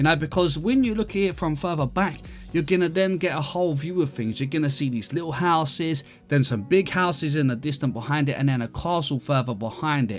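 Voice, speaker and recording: A relaxed tone at a fairly quick pace, ordinary pitch variation, music in the background. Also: man, fairly high pitch for a man. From London, England. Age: 30s. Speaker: gaming YouTuber. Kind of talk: casual gameplay commentary and Q&A. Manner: relaxed, chatty.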